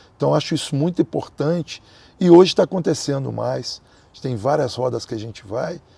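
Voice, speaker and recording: In a dry, close recording with no echo, a man speaks at a moderate pace, somewhat breathy, his tone dark and mellow and his intonation lively. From Brazil. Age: 60s. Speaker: capoeira master. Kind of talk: interview.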